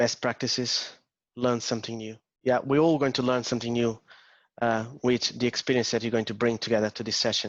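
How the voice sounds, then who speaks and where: A strong Portuguese accent, fairly quick pace and monotone, flat intonation over a quiet background. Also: man, medium pitch for a man. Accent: Portuguese accent, still strong. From Portugal. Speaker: agile coach. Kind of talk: interactive talk. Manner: hesitant, many fillers.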